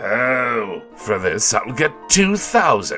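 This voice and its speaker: A man performs a put-on character voice at a fairly high pitch. Clear music plays in the background. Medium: audio drama. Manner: loud, brusque.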